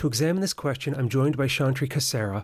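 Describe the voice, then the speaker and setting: An ordinary speaking voice from a man, medium in pitch with ordinary pitch variation, in a very clean recording over a silent background. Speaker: podcast host. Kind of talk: interview.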